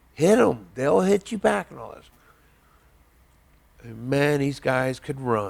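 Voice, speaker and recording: Talking at a fairly slow pace, a man with an American accent uses a medium pitch and lively intonation. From southern Indiana, near Evansville. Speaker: army veteran. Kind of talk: oral history interview. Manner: halting, many fillers.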